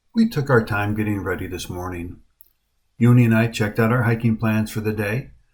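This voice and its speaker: Over a silent background in a very clean recording, a man with a medium pitch and a somewhat breathy voice speaks at a fairly quick pace. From USA. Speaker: hiking vlogger. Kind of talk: travel vlog narration.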